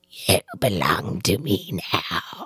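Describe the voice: This is a put-on character voice, whispering. It comes out raspy and hoarse.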